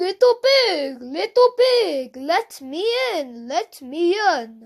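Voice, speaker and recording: A woman's put-on character voice at an extremely high pitch, with very wide pitch swings and a very slow pace. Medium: read story. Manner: menacing.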